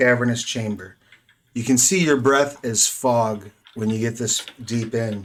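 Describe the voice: The text is read aloud. The delivery is plain.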